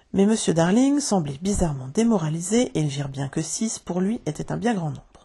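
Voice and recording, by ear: Intonation stays lively throughout. The text is read aloud in a natural voice.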